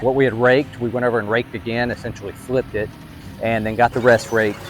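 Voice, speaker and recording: Talking at a very fast pace, a man with a medium-pitched voice is heard over noticeable background noise. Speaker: part-time farmer and farming video creator. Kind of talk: casual vlog storytelling. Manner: projects voice, energetic when filming.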